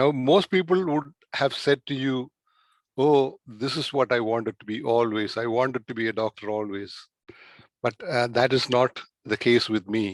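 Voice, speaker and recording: With a Keralan accent, a man talks at a moderate pace and medium pitch with ordinary pitch variation, in a dry, close sound with no echo against a quiet background. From India, Kerala. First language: Malayalam. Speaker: doctor. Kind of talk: interview. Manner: halting.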